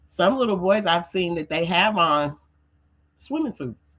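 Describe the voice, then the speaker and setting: At a moderate pace, a woman speaks in a fairly low, bright, sharp voice with an animated tone and lively intonation. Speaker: livestreamer. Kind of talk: casual livestream monologue. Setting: livestream.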